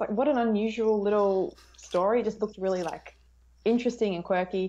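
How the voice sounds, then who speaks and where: The woman has an Australian accent and a dark, mellow tone. She speaks at a moderate pace. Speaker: film YouTuber. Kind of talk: casual chat. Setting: video call. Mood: cheerful, friendly. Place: home room. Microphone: earbuds.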